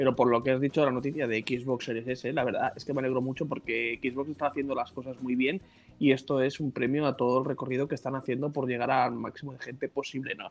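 Over music in the background, a man speaks at a very fast pace with hardly any pauses and a monotone, flat intonation. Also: medium pitch for a man. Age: 30s. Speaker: podcast co-host. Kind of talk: casual chat.

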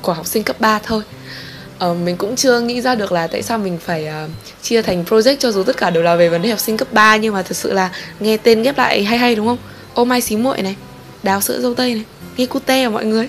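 A woman with a fairly high pitch talks at a very fast pace with ordinary pitch variation. Noticeable background noise runs behind her. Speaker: solo podcast host. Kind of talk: casual monologue. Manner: animated.

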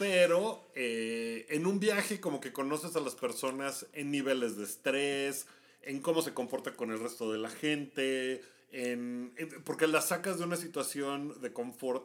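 A man's unremarkable speaking voice, fairly slow, with lively intonation. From Mexico. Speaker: travel podcast co-host. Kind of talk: casual chat.

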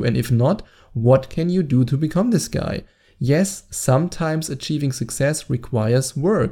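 A man with a German accent talks at a fairly high pitch, somewhat breathy, with a dark, mellow tone. The recording is very clean, with a silent background. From Germany. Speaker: dating coach. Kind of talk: solo podcast monologue. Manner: animated.

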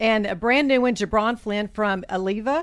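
Animated and upbeat, a woman with a Southern US accent speaks at a medium pitch. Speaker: chamber of commerce co-host. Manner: animated, upbeat.

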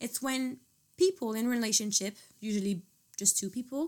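Lively intonation in a French accent at a moderate pace, on a very clean recording with a silent background. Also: woman. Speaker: student. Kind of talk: casual chat.

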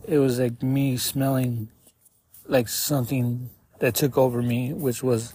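A man with an American accent speaks at a very slow pace in a somewhat breathy, medium-pitched voice with flat, monotone intonation. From Arizona, Tucson. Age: 30s. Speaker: podcaster in addiction recovery. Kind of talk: personal testimony. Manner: halting.

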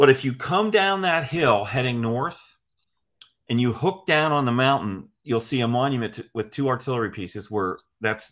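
Recorded very cleanly against a silent background, a man talks at a moderate pace and medium pitch in a normal speaking voice. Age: 60s. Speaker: history magazine editor. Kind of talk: casual interview.

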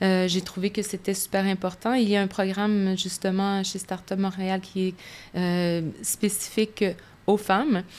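A woman talks at a fairly slow pace in a monotone, flat intonation. The recording is very clean, with a silent background. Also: medium pitch for a woman. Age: 50s. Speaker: business executive. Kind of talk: interview. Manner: halting.

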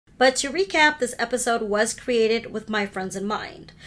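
A speaker with an American accent is heard over noticeable background noise. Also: woman. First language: Hindi. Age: 40s. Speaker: podcast host. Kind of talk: solo podcast monologue.

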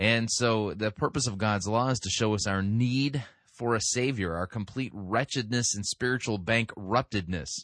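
Over a quiet background, a man in an ordinary speaking voice talks at a moderate pace with a medium pitch and ordinary pitch variation. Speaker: radio host, sermon reviewer. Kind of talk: talk radio commentary. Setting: studio.

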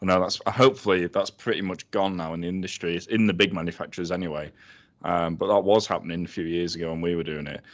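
In a Yorkshire accent, a man speaks at a very fast pace with a very deep, low pitch. His intonation is fairly even, and the background is quiet. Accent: Sheffield Yorkshire English. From Sheffield, South Yorkshire. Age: 30s. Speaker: food business co-founder. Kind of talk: casual chat.

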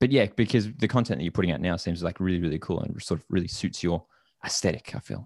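A man with a very deep, low voice talks at a very fast pace. The recording is very clean, with a silent background. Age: 20s. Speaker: podcast host and indie musician. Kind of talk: casual interview chat.

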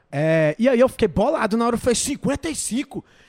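Music plays in the background as a man speaks in dry, close sound with no echo. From Brazil, Goiás/Brasília region. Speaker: podcast host. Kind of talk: casual chat. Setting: studio.

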